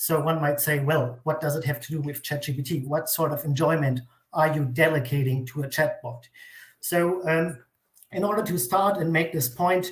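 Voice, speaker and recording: This speaker has a non-native accent and talks at a moderate pace with fairly even intonation. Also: man. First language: not English. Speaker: academic writer. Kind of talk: reading aloud.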